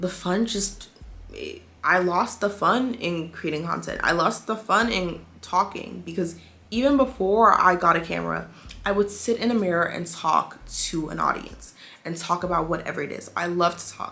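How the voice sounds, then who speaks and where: With vocal fry and a bright, sharp tone, a woman speaks at a medium pitch with ordinary pitch variation. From DMV area (DC, Maryland, Virginia). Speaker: beauty and lifestyle content creator. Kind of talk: casual talk to camera.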